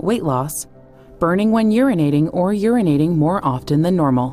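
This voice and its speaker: Music plays behind a woman speaking at a moderate pace. Her pitch is fairly low, and her intonation is lively. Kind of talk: pharmaceutical safety information read.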